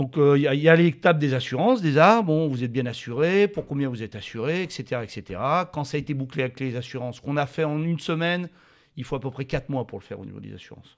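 Very fast and with big swings in loudness, a man speaks at a fairly high pitch with ordinary pitch variation, on a very clean recording with a silent background. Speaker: company director. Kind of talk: interview. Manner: halting, with frequent repetitions.

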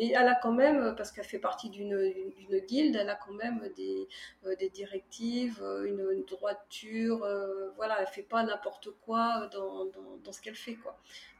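Big swings in loudness mark this voice, delivered at a moderate pace. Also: woman. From France, Charente (Cognac). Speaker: author. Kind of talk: casual interview. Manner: halting, many fillers and repetitions.

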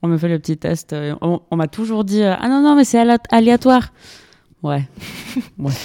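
At a fairly slow pace with long, frequent pauses, a woman speaks in a dark, mellow tone at medium pitch with very wide pitch swings, the sound dry and close with no echo. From Colombia, Bogotá. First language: Spanish (speaking French). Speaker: graduate student. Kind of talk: casual chat. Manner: halting.

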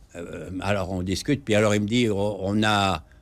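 A man's fairly low voice at a very slow pace, on a very clean recording with a silent background. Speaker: physician and natural medicine author. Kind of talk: interview. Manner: halting.

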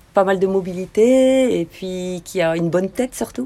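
Her voice has a dark, mellow tone, as a woman speaks at a medium pitch with ordinary pitch variation. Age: 50s. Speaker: amateur tennis player. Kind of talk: casual interview. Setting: outdoors. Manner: halting.

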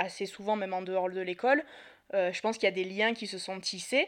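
At a moderate pace, a woman speaks at a medium pitch. The background is quiet. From Marseille, southern France. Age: 30s. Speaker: podcast guest. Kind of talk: casual chat.

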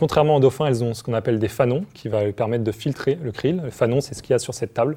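A man's dark, mellow, somewhat breathy voice at medium pitch, with ordinary pitch variation. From Paris region, France. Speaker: marine bioacoustician. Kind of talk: explaining science to children. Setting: TV studio set.

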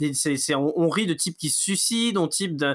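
In a very clean recording with a silent background, a man talks at a fairly quick pace with a high pitch. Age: 20s. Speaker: music podcast co-host. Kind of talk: casual chat. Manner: halting.

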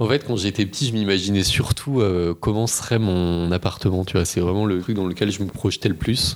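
A man speaks in a normal speaking voice, fairly low in pitch. His pace is moderate, his intonation fairly even, and he hardly pauses. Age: 30s. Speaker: magistrate. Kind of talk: casual chat.

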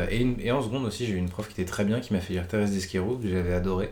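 A man talks at a very fast pace with a fairly low pitch. Audible room echo surrounds his voice. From Paris region, France. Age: 20s. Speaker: book reader. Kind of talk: casual chat. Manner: hesitant, many fillers.

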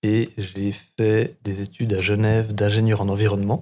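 A man speaks at a fairly low pitch. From Switzerland, Bernese Jura. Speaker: market gardener and trainer. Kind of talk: casual chat.

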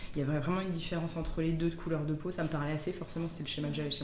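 Amid noticeable background noise and audible room echo, a woman speaks in a fairly low pitch with monotone, flat intonation. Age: 30s. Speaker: physiotherapist. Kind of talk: casual chat.

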